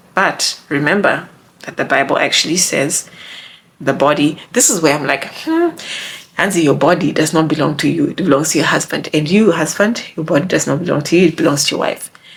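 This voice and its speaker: Noticeable background noise around a woman's very deep, low voice. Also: ordinary pitch variation. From Zimbabwe. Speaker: YouTuber giving relationship advice. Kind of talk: casual vlog monologue. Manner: animated.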